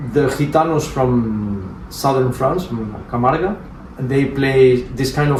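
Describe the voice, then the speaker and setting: A man's medium-pitched, fairly slow speech with ordinary pitch variation, audible room echo and noticeable background noise. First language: Flemish and Romanes. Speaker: jazz musician. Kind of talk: interview. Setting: at a private home.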